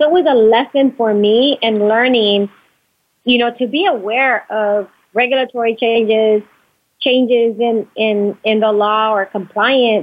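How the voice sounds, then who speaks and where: A woman with a normal speaking voice talks at a fairly slow pace, with fairly even intonation and very even loudness. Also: fairly high pitch for a woman. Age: 40s. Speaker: entrepreneur, medical device company owner. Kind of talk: interview.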